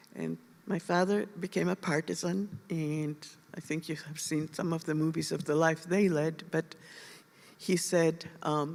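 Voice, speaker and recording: The speaker moves at a fairly slow pace with a monotone, flat intonation. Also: woman, fairly low pitch for a woman. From Lithuania. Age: 80s+. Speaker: Holocaust survivor. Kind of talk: testimony. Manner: halting.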